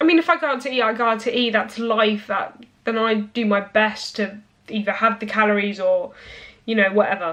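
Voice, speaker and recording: At a fairly quick pace, a woman speaks with a fairly high pitch and ordinary pitch variation. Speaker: fitness vlogger. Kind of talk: casual vlog monologue. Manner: halting, with many restarts.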